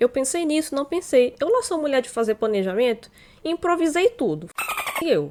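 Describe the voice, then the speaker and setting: Noticeable background noise sits under a woman's voice. She talks at a moderate pace with very wide pitch swings. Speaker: YouTuber. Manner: slurred, tongue-tied from costume fangs; animated.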